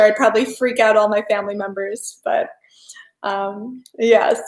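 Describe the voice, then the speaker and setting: A woman with an American accent and an ordinary speaking voice talks at a moderate pace and fairly high pitch. The recording is very clean, with a silent background. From United States. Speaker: pagan spirituality youtuber. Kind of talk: live stream chat. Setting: home kitchen. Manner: casual, many fillers.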